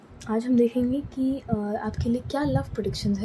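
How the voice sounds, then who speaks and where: Noticeable background noise behind a woman's moderately paced speech. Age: 20s. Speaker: tarot reader. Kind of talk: tarot reading. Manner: casual Hindi-English code-switching.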